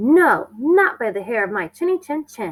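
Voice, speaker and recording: In a put-on character voice, a woman speaks high and with very wide pitch swings at a moderate pace, the sound dry and close with no echo. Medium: read story.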